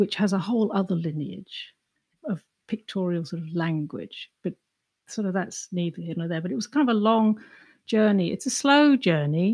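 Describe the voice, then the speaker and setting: Somewhat breathy and medium in pitch, a woman speaks with an English accent and lively intonation at a moderate pace. The sound is dry and close, with no echo. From England. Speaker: artist. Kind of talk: interview.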